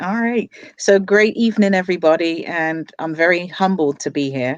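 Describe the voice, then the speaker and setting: In a dry, close recording with no echo, a woman talks at a moderate pace with lively intonation. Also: quiet background. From England, London. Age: 40s. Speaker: business owner and crypto investor. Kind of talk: interview, personal story.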